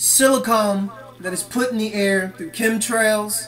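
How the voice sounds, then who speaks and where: Fairly slow speech amid noticeable background noise. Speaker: conspiracy video blogger. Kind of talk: vlog monologue rant. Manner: animated.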